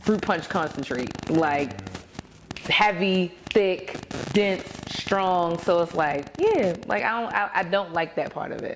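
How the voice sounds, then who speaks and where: With noticeable background noise around her, a woman speaks at a very slow pace with ordinary pitch variation. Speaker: podcast guest. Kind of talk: podcast conversation.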